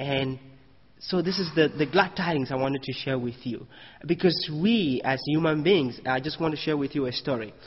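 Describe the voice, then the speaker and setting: A man's fairly high, somewhat breathy voice at a moderate pace, with ordinary pitch variation. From Cameroon. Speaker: Baha'i speaker. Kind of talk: sermon.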